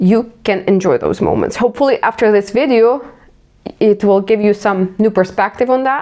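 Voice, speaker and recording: In a Ukrainian accent, a woman speaks with a dark, mellow tone, a fairly high pitch and ordinary pitch variation. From Ukraine. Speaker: vlogger. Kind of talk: casual self-reflective monologue.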